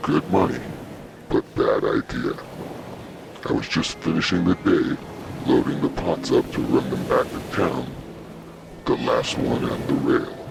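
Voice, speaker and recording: A man speaks in a put-on character voice at a moderate pace. Background noise is clearly audible. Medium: read story. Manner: gruff, profane.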